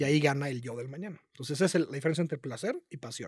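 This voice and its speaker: Somewhat breathy and fairly quick, a man talks with lively intonation against a quiet background, the sound dry with no echo. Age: 30s. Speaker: marketing entrepreneur; podcast guest. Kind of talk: casual interview chat. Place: studio. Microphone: studio mic.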